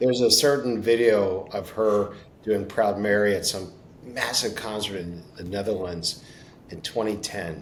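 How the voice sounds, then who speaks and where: A man with an American accent at a fairly slow pace, fairly even in intonation, with audible room echo. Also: fairly low pitch for a man, big swings in loudness. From Baltimore, US. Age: 60s. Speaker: podcast host. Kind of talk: interview.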